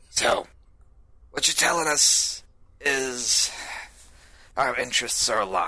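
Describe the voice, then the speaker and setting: In a put-on character voice with a fairly high pitch, a man speaks at a fairly slow pace with very even loudness and long, frequent pauses. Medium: actual play. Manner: gruff, businesslike.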